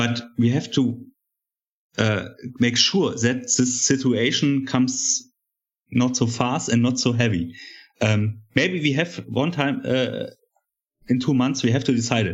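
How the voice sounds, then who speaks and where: A man with a German accent talks at a fairly slow pace and a medium pitch, with ordinary pitch variation, very even loudness and long, frequent pauses. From East Germany. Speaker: journalist. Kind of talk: debate on coronavirus measures. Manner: hesitant, halting.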